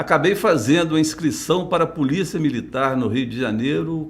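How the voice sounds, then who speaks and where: Ordinary pitch variation, with audible room echo. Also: man. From Minas Gerais, Brazil (south, Alfenas region). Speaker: retired police chief. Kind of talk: interview. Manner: halting.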